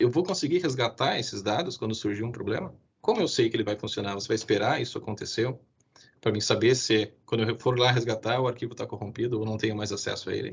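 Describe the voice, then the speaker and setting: Speaking at a very fast pace, a man uses a medium pitch with ordinary pitch variation and a somewhat breathy quality. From southern Brazil (Rio Grande do Sul). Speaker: IT security specialist. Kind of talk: webinar presentation. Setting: live stream.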